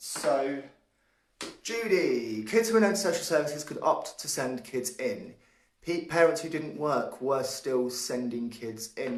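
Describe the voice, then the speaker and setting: A man speaks loudly at a fairly slow pace, his fairly high voice making very wide pitch swings. Room echo is audible. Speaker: livestream show host. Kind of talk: live show commentary. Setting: home hallway, live stream.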